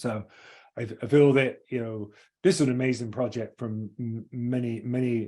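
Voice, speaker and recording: A man talks in an English accent at a medium pitch. His tone is dark and mellow, and his intonation fairly even. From England. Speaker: engineering firm executive. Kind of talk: webinar presentation. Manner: fast; halting.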